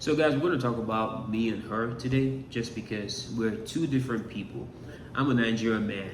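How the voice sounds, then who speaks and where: Medium-pitched man at a moderate pace, fairly even intonation, audible room echo. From Nigeria. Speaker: YouTuber, social media entertainer. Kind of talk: casual chat.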